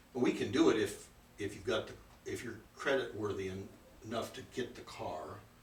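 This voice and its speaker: A man talks at a fairly quick pace yet leaves long, frequent pauses. Audible room echo and noticeable background noise fill the recording. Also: big swings in loudness. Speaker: financial seminar presenter. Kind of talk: seminar presentation with Q&A. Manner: fast.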